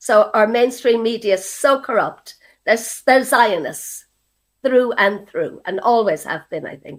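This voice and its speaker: Speaking at a fairly slow pace, a woman uses a fairly high pitch with ordinary pitch variation. Her loudness swings widely. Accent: Irish. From Ireland. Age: 70s. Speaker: activist. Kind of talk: interview testimony.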